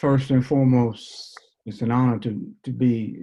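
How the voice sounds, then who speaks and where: This man has a dark, mellow tone at a medium pitch. He talks with a New Orleans accent and fairly even intonation. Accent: New Orleans Southern US. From US South, New Orleans. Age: 70s. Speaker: basketball coach and mentor. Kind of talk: panel discussion. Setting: video call.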